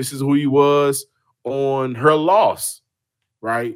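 This recording is very clean, its background silent. A man talks at a fairly high pitch. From Houston, Texas. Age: 30s. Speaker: sports podcaster. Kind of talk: casual chat.

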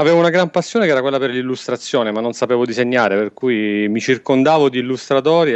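This man speaks at a medium pitch with ordinary pitch variation, in an unremarkable speaking voice. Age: 30s. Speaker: photographer. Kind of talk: casual chat.

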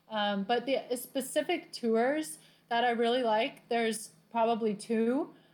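At a fairly slow pace, a woman with an American accent and a normal speaking voice talks at a fairly high pitch, with ordinary pitch variation and very even loudness. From Southern California. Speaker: tour company worker. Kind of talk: casual interview.

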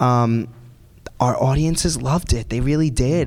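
Here a man speaks with a New York accent at a medium pitch. His pace is moderate and his pitch variation ordinary. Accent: New York (Staten Island). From New York, Staten Island. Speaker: Broadway performer. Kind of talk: interview. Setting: stage with audience.

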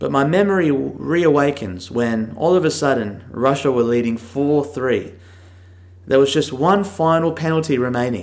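Here a man speaks in an Australian accent with a fairly high pitch. His intonation is lively. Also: moderate pace. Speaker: travel podcast host. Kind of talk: casual audio diary; scripted narration.

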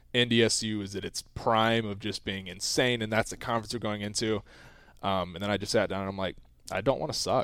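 Here a man has a normal speaking voice, fairly low in pitch, at a fairly quick pace with fairly even intonation. The recording is very clean, with a silent background. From US South. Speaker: college athlete. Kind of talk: casual interview.

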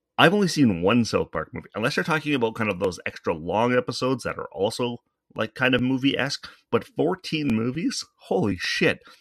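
At a fairly quick pace, the voice swings very widely in pitch, with a dry, close sound with no echo and a quiet background. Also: man, medium pitch for a man. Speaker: podcast host. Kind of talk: casual monologue. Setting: home studio microphone. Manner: rambling, conversational.

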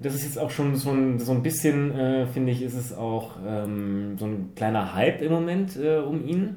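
Noticeable background noise and audible room echo around a man's medium-pitched voice, lively in intonation, at a moderate pace with hardly any pauses. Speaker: podcast co-host. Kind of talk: casual chat.

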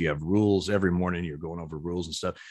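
A man talks with an American accent and a very deep, low pitch. The recording is very clean, the background silent. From Oregon. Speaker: retired baseball umpire. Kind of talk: interview.

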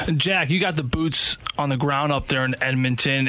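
Noticeable background noise sits behind a man whose fairly high pitch comes at a fairly quick pace. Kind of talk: casual sports radio talk. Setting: radio studio. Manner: chatty, conversational.

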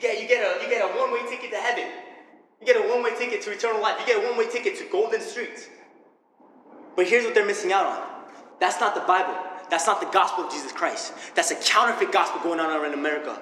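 An animated man talks at a very fast pace with long, frequent pauses, amid audible room echo and noticeable background noise. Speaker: church leader, preacher. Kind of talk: sermon. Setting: stage with audience.

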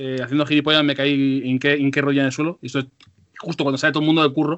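A man's voice sits fairly high. He speaks very rapidly. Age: 30s. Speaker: podcast host. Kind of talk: casual chat. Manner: animated.

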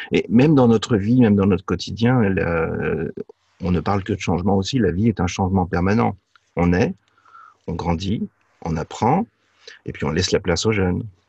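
In a dry, close sound with no echo, a man with a fairly low, somewhat breathy voice and a dark, mellow tone speaks at a moderate pace with ordinary pitch variation and long, frequent pauses. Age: 50s. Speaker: business coach. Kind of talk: interview. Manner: halting.

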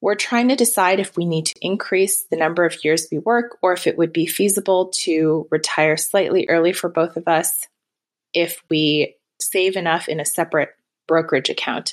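With a plain, everyday voice, a woman speaks at a moderate pace in a fairly low pitch with ordinary pitch variation. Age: 30s. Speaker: caller. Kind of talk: recorded voicemail question.

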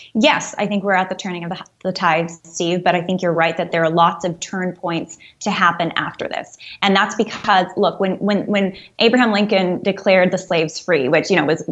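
An ordinary speaking voice moves at a fairly quick pace with fairly even intonation. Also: woman. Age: 30s. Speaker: anti-abortion activist. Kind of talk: radio interview.

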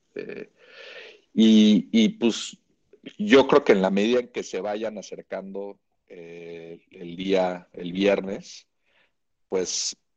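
A man with a Mexican accent speaks at a very slow pace. His pitch is fairly low. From Mexico. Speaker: golf reporter. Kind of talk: casual chat.

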